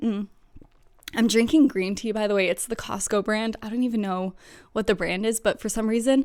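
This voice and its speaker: This woman talks at a fairly quick pace with ordinary pitch variation. Her pitch is fairly high. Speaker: book vlogger. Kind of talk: casual chat. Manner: fast; casual, many fillers.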